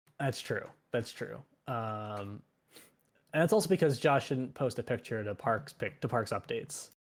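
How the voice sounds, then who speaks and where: The recording is very clean and the background silent. It carries an ordinary speaking voice at a moderate pace with ordinary pitch variation. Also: man, medium pitch for a man. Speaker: online game community co-owner hosting meeting. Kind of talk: casual meeting Q&A chat.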